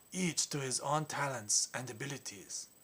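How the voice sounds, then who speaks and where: Moving at a moderate pace, a man performs in a put-on character voice. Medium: comedy sketch.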